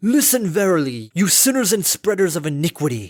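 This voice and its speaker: A man's put-on character voice, high in pitch, with very wide pitch swings and a fairly quick pace. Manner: thundering, sermonizing.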